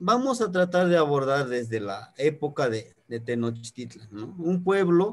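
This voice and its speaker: A man with a Mexican accent speaks at a very slow pace. His intonation is lively. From Mexico, highlands of Guerrero. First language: Nahuatl (speaking Spanish). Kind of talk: online talk, lecture. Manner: halting, many fillers.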